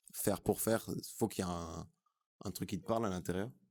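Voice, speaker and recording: A man talks at a fairly quick pace. His voice has a very deep, low pitch and a dark, mellow tone. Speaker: rapper. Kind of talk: interview. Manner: casual, hesitant with fillers.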